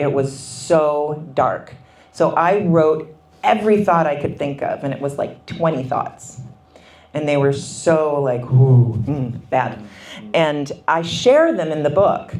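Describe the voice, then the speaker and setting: Very slow and very deep for a woman, this voice in a Minnesotan accent shows ordinary pitch variation and audible room echo. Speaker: author. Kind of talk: book talk interview. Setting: book signing event.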